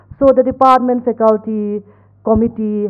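The background stays quiet. Against it, a woman talks at a moderate pace. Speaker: emcee of the event. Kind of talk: formal event hosting. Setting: stage with audience. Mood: warm, grateful. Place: hall. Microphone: podium.

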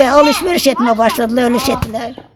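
Noticeable background noise behind a woman, her pitch varying in an ordinary way. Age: 70s. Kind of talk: casual interview answer.

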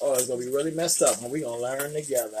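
Room echo is audible as a man talks fast at a medium pitch. His tone is slightly mellow.

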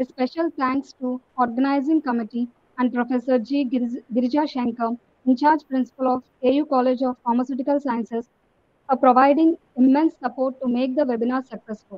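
A woman's high-pitched, monotone, flat delivery at a fairly quick pace, with a dry sound and no echo. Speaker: student. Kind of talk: vote of thanks. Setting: video call. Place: hall. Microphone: video call.

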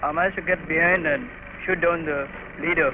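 A man talks with a high pitch and ordinary pitch variation at a moderate pace. The sound is dry with no echo, though there is noticeable background noise. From India. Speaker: air force formation leader, fighter pilot. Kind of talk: interview answer. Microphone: old recording.

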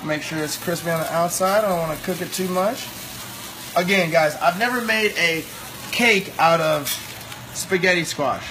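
A man with a fairly high pitch, a moderate pace and ordinary pitch variation, over clear background noise

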